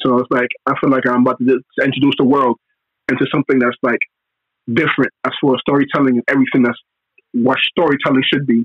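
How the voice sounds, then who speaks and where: A man with a Brooklyn accent talks at a very fast pace in a medium pitch. His delivery is monotone and flat, broken by long, frequent pauses. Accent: New York (Brooklyn). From New York (Brooklyn). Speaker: comic book author and former music A&R. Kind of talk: casual interview.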